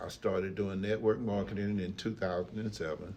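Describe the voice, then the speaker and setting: In a room with audible echo, a man with a fairly low pitch speaks in a monotone, flat intonation. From East Texas, US. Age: 60s. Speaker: retired factory worker and entrepreneur. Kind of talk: casual interview. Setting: podcast.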